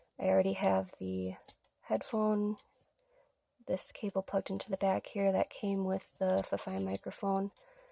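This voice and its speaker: A woman's voice at a moderate pace, dry and close with no echo. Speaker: product reviewer. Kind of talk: tutorial. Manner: soft-spoken.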